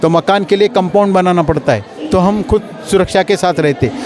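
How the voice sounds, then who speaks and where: Against noticeable background noise, a man with a high voice speaks at a moderate pace with ordinary pitch variation. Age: 60s. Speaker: local politician interviewed in street poll. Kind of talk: street interview. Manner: animated.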